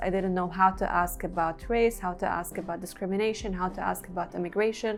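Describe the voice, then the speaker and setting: Speaking at a fairly quick pace, a woman with a Lebanese accent keeps a fairly even intonation. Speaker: PhD student. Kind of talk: interview testimony.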